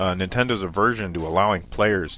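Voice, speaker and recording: A man's very deep, low voice with ordinary pitch variation over music in the background. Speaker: gaming video commentator. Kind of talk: casual gaming commentary. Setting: low-quality microphone.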